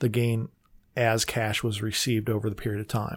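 A man speaks at a fairly quick pace in a medium pitch, with a monotone, flat delivery on a very clean recording with a silent background. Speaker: tax accountant. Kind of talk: radio interview. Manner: hesitant; conversational.

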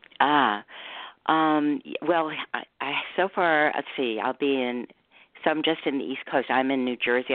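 With an American accent, a woman speaks fairly slowly and with ordinary pitch variation. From New York City. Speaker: author. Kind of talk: interview.

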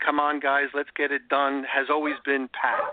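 A man speaks in an enthusiastic tone at a fairly high pitch. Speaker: radio host. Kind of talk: radio interview.

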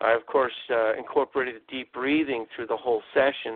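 This is a man's voice. His pitch is medium. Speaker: radio show host. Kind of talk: casual interview chat.

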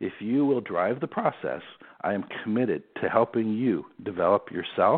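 A man with an American accent has a normal speaking voice. His pitch is medium with ordinary variation, and his pace is moderate. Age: 50s. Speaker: sports executive. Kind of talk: interview.

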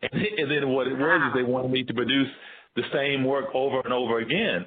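The speaker is a man with a Southern US accent. He talks at a moderate pace. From US South, Tennessee. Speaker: visual artist. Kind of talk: casual interview.

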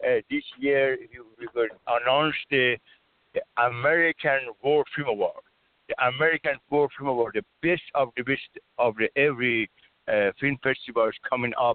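A man talks at a fairly high pitch with a non-native accent. His pauses are long and frequent. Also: fairly even intonation, moderate pace. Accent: foreign-accented English. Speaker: caller. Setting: phone call. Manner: halting.

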